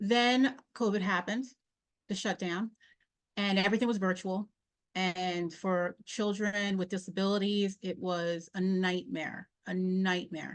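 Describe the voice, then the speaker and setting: A woman's unremarkable speaking voice at medium pitch, with fairly even intonation. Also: fairly slow pace, quiet background. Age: 40s. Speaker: podcast host and mental health professional. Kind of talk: interview answer.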